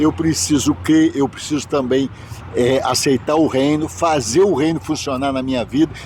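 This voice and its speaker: Against noticeable background noise, a man with a fairly high pitch speaks at a moderate pace with lively intonation. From Minas Gerais, Brazil. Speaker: bishop. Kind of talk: interview, life story. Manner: halting.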